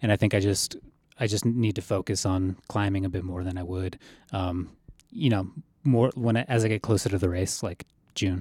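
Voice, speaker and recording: This man has a fairly low pitch and a dark, mellow tone, somewhat breathy, with an American accent. He talks at a moderate pace with fairly even intonation, recorded very cleanly over a silent background with a dry, close sound and no echo. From Colorado. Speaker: ultrarunner. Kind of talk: casual interview.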